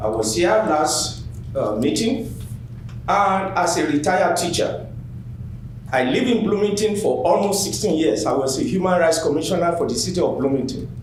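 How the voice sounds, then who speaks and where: A man with a non-native accent speaks in a high pitch with very wide pitch swings and very even loudness. Noticeable background noise and audible room echo fill the recording. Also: moderate pace. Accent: noticeable foreign. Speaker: public commenter, retired teacher. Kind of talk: public comment speech. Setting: public meeting at microphone.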